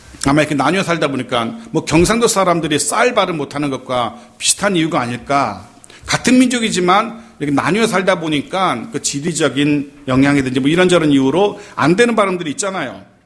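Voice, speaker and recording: With hardly any pauses, a man talks at a fairly quick pace and a fairly high pitch, his pitch swinging very widely. Background noise is noticeable. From Seoul (born in Gyeongsang region). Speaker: pastor. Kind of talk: sermon.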